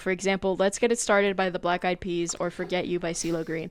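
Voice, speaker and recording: A woman speaks at a very fast pace on a very clean recording with a silent background. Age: 20s. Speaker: podcast co-host. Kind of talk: casual chat. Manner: halting.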